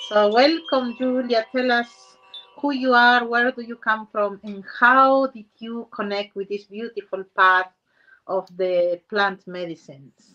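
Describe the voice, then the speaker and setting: Over music in the background, a woman speaks at a fairly slow pace and a fairly high pitch. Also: ordinary pitch variation, big swings in loudness. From Peru. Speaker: spiritual show host. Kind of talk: interview.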